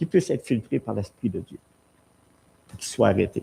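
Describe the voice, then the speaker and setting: A man with a Quebec accent speaks at a moderate pace in a dark, mellow tone with vocal fry. His pitch swings very widely. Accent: Québécois French. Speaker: pastor. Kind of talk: sermon. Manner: animated.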